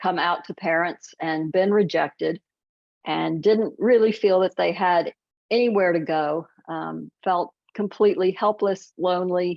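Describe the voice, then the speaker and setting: Using an ordinary speaking voice, a woman speaks at a fairly slow pace with fairly low pitch and fairly even intonation. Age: 60s. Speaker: author. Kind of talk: interview.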